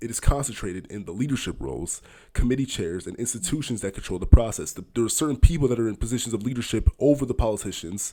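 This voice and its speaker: Talking at a very fast pace with hardly any pauses, a man with an American accent uses a medium pitch, a dark, mellow tone, lively intonation and big swings in loudness. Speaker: podcast host. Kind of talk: casual explainer monologue. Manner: halting, with self-corrections.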